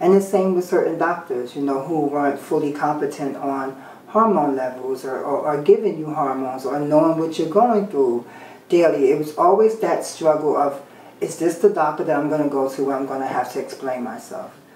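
A woman's very deep, low voice with ordinary pitch variation, a fairly quick pace, audible room echo and light background noise. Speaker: interviewee. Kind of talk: interview answer. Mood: candid, slightly wry. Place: home room.

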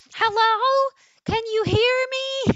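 Shouting in a put-on character voice at an extremely high pitch, the speaker keeps the intonation monotone and flat. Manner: screaming into a phone.

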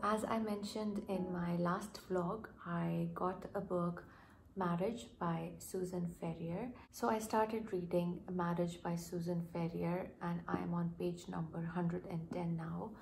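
A somewhat breathy voice at a fairly slow pace, with fairly even intonation and light background noise. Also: woman, fairly low pitch for a woman. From Pakistan. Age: 20s. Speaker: doctor, book vlogger. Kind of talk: casual talk to camera. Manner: quiet, almost whispering. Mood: warm, enthusiastic. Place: home room. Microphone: phone near.

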